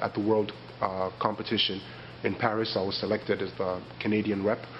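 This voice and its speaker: With a slight Nigerian accent, a man talks at a moderate pace in a fairly low pitch, his intonation monotone and flat. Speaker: poet. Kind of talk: interview. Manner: hesitant, with many fillers.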